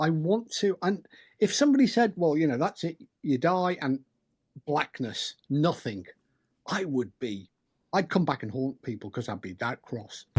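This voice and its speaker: On a very clean recording with a silent background, a man with a British accent speaks at a moderate pace and a fairly high pitch, swinging very widely in pitch and taking long, frequent pauses. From UK. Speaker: paranormal investigator and author. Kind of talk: podcast interview.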